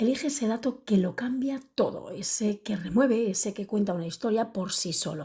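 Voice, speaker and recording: A soft-spoken woman talks at a moderate pace with hardly any pauses, her fairly high voice somewhat breathy with a dark, mellow tone. Her pitch varies in an ordinary way. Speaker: podcast host and public speaker. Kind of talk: podcast monologue. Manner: soft-spoken, speaking quietly.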